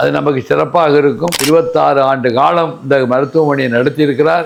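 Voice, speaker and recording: A man's fairly high voice, with ordinary pitch variation, comes through over noticeable background noise. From Thanjavur, Tamil Nadu. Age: 70s. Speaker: lawyer and former legislator. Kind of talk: patient testimonial.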